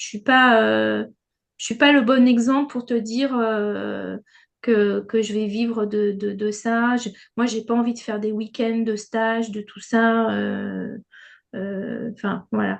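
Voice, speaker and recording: A woman speaks at a fairly high pitch and a very slow pace. Her intonation is monotone and flat, with big swings in loudness. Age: 60s. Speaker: retired schoolteacher and trainee therapist. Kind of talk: testimony in group Q&A. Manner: halting, many hesitations and repeats.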